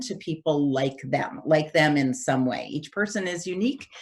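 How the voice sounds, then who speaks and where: Her pitch very deep and low, a woman speaks with ordinary pitch variation. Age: 60s. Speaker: development economist and organization CEO. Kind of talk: Q&A talk. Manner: hesitant, many fillers.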